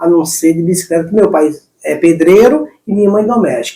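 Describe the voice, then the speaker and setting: A man's voice is heard. It has a dark, mellow tone. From Brazilian Northeast, Santa Cruz do Capibaribe, Pernambuco. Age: 40s. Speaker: long-distance cyclist. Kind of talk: interview. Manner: halting.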